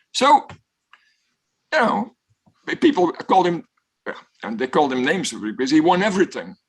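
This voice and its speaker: A man speaks in a high voice with very wide swings in pitch. His pace is moderate, broken by long, frequent pauses. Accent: Flemish. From Belgium. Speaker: professor. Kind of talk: guest talk with Q&A.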